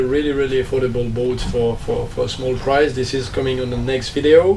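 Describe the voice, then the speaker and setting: Over noticeable background noise and audible room echo, a man speaks fairly quickly at a medium pitch. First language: French. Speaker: sailing vlogger and former professional skipper. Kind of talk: casual vlog talk. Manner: halting, many fillers.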